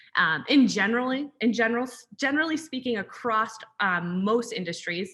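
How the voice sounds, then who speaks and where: Her voice is bright and sharp, and this woman speaks in a fairly high pitch with lively intonation. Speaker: brand growth strategist, webinar presenter. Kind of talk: webinar presentation. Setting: zoom webinar. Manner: fast.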